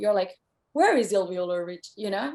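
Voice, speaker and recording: A woman with a Spanish accent over a quiet background. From Spain. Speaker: singer-songwriter. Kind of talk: interview.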